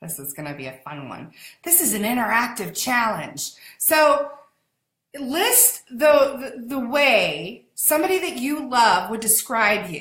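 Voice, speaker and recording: A woman speaks in a high, animated voice at a fairly slow pace, with very wide pitch swings and big swings in loudness. Room echo is audible. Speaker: online business community host. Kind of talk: live stream chat.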